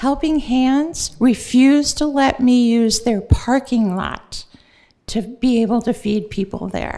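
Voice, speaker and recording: Here a woman speaks at a very slow pace, high in pitch with ordinary pitch variation. Her tone is dark and mellow. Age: 70s. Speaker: volunteer who feeds the homeless, public commenter. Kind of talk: public comment at city council meeting. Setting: city council chamber.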